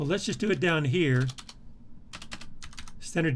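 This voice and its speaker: Audible room echo follows a man whose pitch is fairly high. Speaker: university instructor. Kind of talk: tutorial. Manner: halting.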